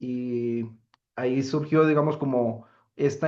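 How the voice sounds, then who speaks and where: A man speaks with monotone, flat intonation. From Colombia, Boyacá. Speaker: academic researcher and activist. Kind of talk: conference talk. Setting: lecture hall with audience. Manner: halting, many fillers.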